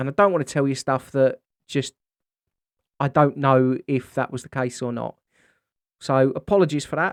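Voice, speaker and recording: With long, frequent pauses and fairly even intonation, a man talks at a moderate pace in a fairly high voice, the sound dry and close with no echo. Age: 40s. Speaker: podcaster with multiple sclerosis. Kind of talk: casual vlog monologue. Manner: halting, repeats words.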